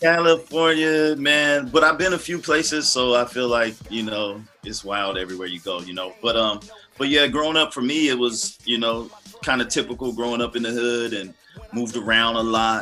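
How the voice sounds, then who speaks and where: Music plays behind a man with an American accent. He speaks at a medium pitch and moderate pace with lively intonation. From US West Coast, Los Angeles. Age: 40s. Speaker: gospel hip hop artist and minister. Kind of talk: interview testimony. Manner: halting, repeats words.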